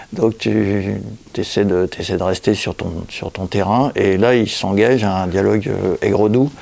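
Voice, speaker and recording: Fairly slow speech from a man, pitched fairly low, with ordinary pitch variation. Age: 60s. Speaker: illustrator and comic author. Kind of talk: casual interview. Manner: halting, many repetitions.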